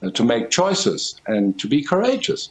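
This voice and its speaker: A man speaking at a fairly slow pace. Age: 70s. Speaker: professor. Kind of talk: TV interview. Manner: halting, many fillers.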